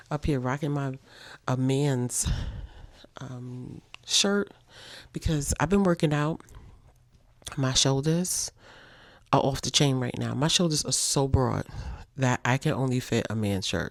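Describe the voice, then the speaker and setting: A quiet woman's voice, very deep and low, animated in tone, at a fairly slow pace with long, frequent pauses, in a very clean recording with a silent background. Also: ordinary pitch variation. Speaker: single mother vlogger. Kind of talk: casual monologue to viewers. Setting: bedroom at home. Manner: quiet, holding volume down.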